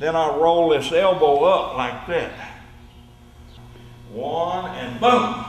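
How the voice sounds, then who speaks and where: Talking in a Southern US accent, a man with a high pitch speaks at a very slow pace with lively intonation and long, frequent pauses. Audible room echo and noticeable background noise surround him. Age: 70s. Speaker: judo instructor. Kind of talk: tutorial. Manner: repetitive, demonstrative.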